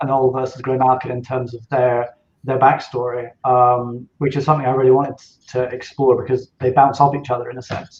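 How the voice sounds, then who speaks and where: A man speaks at a fairly quick pace and medium pitch, somewhat breathy, with monotone, flat intonation and big swings in loudness. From Scottish Highlands. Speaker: novelist. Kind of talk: podcast interview. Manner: hesitant, many fillers.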